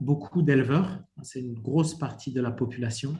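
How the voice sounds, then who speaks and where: This man's voice sits at a fairly high pitch, with a dark, mellow tone and a somewhat breathy quality. His intonation stays fairly even. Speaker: private sector panelist on dairy. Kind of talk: panel discussion answer. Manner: halting, many fillers.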